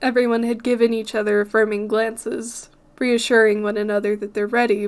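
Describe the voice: Just plain reading aloud, nothing more.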